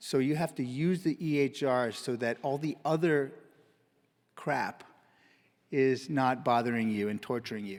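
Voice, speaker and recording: Long, frequent pauses and ordinary pitch variation in a very clean recording with a silent background. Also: man, medium pitch for a man, fairly slow pace. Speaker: physician giving a conference talk. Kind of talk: conference presentation.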